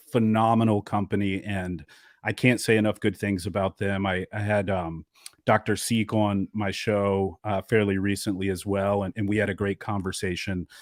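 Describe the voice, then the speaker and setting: On a very clean recording with a silent background and a dry, close sound with no echo, a man speaks at a moderate pace in a fairly low pitch with monotone, flat intonation. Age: 30s. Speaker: podcast host. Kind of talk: interview.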